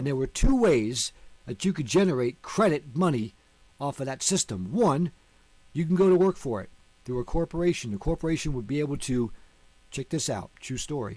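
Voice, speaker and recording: In an American accent, a man with a normal speaking voice talks at a fairly quick pace with lively intonation. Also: fairly high pitch for a man. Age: 50s. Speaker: online teacher on law and finance. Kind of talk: video lecture.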